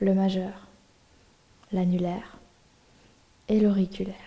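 A woman's soothing, calm voice at medium pitch, monotone and flat, at a very slow pace. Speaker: yoga nidra teacher. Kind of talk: guided meditation. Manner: slow, soothing, hushed and calm; gently paced, drifting with long pauses.

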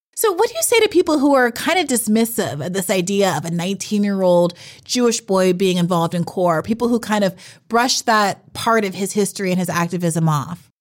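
In a normal speaking voice, a woman talks at a fairly quick pace with medium pitch and lively intonation. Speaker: podcast host. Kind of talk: scripted intro and interview.

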